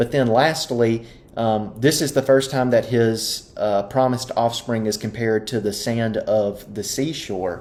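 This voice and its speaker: The speech moves at a fairly slow pace with fairly even intonation and hardly any pauses. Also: man, medium pitch for a man. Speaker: Bible class teacher. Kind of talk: Bible study lesson. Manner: hesitant with frequent um.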